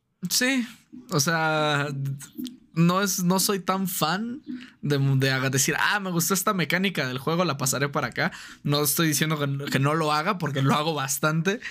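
This man's tone is bright and sharp, his pitch fairly high. He speaks at a moderate pace with ordinary pitch variation. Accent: Mexican. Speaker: streamer and tabletop roleplaying gamer. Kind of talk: casual chat. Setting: call.

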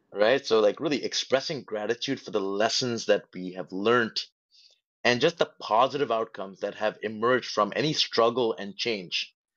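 In an unremarkable speaking voice, a man talks at medium pitch and a moderate pace with ordinary pitch variation and big swings in loudness against a quiet background. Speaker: podcast host, motivational speaker. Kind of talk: live audio room conversation. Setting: live online audio room.

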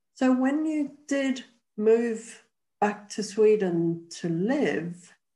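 Very slowly and with lively intonation, a woman with a fairly high pitch and a dark, mellow tone talks in a room with audible echo.

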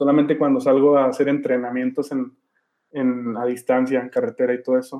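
Talking at a fairly quick pace, a man with a medium pitch delivers his words in a flat monotone. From Durango, Mexico. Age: 30s. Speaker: former punk band vocalist. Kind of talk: interview. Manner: halting, with frequent repetitions and fillers.

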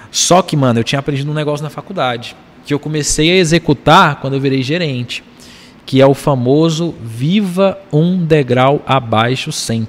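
A man with a plain, everyday voice keeps a moderate pace, his fairly high pitch showing ordinary pitch variation. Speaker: entrepreneur and investor. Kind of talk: casual chat.

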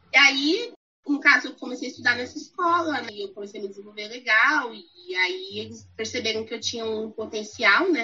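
Lively intonation and a fairly high pitch shape this woman's normal speaking voice as she talks at a moderate pace. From Brazil. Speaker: English teacher. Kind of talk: casual chat.

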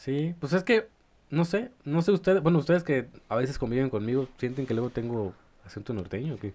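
Speaking at a fairly quick pace with a slight northern Mexican accent, a man uses a fairly high pitch and lively intonation. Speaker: podcast co-host, university student. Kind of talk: casual chat.

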